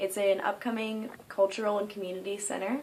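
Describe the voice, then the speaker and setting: A woman with an American accent and a normal speaking voice, at a fairly quick pace with fairly even intonation. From US Northeast (New York). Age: 20s. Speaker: art student and body painter. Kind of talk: self-introduction video. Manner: frequent filler words.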